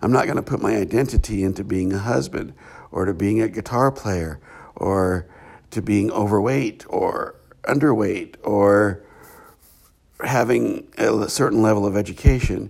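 A man at a fairly low pitch talks at a moderate pace with ordinary pitch variation and long, frequent pauses. The recording is very clean, with a silent background. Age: 50s. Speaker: podcast host on spirituality. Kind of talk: reflective solo monologue. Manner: halting, with frequent fillers.

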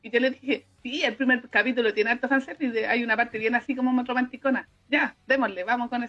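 Talking at a very fast pace, a woman uses a high pitch and fairly even intonation, with big swings in loudness. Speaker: podcast co-host. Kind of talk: casual chat.

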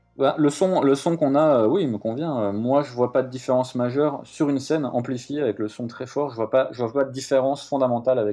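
A man's medium-pitched voice with ordinary pitch variation and hardly any pauses. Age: 40s. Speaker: metal musician and podcast host. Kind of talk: interview. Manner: halting.

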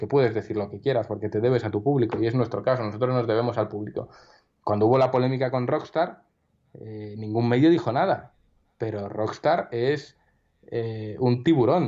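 A man's dark, mellow voice sits at a medium pitch, moving at a moderate pace with ordinary pitch variation. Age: 30s. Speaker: magazine director. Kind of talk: interview.

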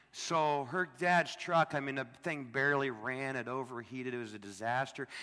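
In an American accent, a man talks at a moderate pace with a bright, sharp tone, medium pitch and ordinary pitch variation. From US Midwest, Illinois. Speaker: missionary preacher. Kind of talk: sermon. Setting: church.

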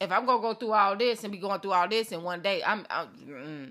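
A woman mumbles at a fairly quick pace in a bright, sharp tone, captured on a very clean recording with a silent background. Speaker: podcast host and coach. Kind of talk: solo podcast monologue with faith talk. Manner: fast talker, somewhat mumbled.

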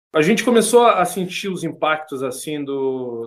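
With a plain, everyday voice, a man speaks at a fairly slow pace with lively intonation and a fairly high pitch. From Trindade, Paraty coast, Rio de Janeiro, Brazil. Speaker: artisanal fisherman. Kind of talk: interview testimony.

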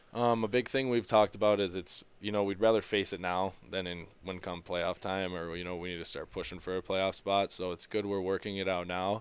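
Speaking at a fairly quick pace with hardly any pauses, a man with an Upper Midwest accent uses a very deep, low pitch and monotone, flat intonation in a very clean recording with a silent background. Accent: Upper Midwest American. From Minnesota. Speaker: ice hockey player. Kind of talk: interview. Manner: halting, many fillers.

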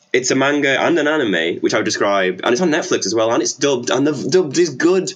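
Against noticeable background noise, a man with a fairly high pitch rushes along at a very fast pace with hardly any pauses and lively intonation. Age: 20s. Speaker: cross-dresser and social media personality. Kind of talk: casual chat.

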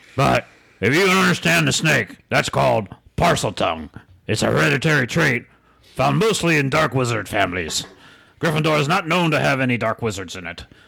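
A man puts on a raspy character voice at a medium pitch. He talks at a fairly quick pace.

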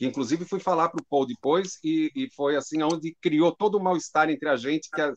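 Here is an unremarkable speaking voice from a man, fairly high in pitch with ordinary pitch variation. He keeps a moderate pace, and the sound is dry and close with no echo. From Brazil, São Paulo. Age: 60s. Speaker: drum teacher. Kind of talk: conversation on a live stream.

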